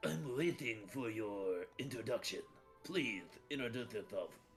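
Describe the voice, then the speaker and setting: A man uses a put-on character voice at a medium pitch and a moderate pace. Clear music plays in the background. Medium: actual play. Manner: pompous, regal.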